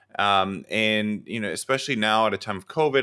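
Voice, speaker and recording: A man's fairly low voice with a bright, sharp tone at a fairly quick pace. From Texas. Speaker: professor and grad student coach. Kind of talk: live online coaching session. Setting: studio, livestream. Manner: halting, with many fillers and repeats.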